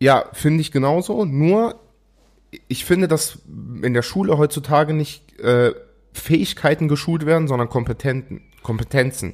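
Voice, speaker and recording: A man's fairly high voice with ordinary pitch movement, a moderate pace, and long, frequent pauses. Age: 20s. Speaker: podcast co-host. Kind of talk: casual chat.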